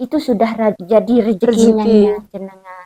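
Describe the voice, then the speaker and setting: A woman with a Lombok accent and a fairly high pitch. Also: dry, close sound with no echo. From Lombok, Indonesia. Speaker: Quran recitation teacher. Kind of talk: interview answer.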